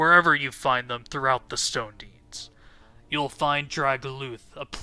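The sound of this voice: An unforced reading voice moves along with fairly even intonation.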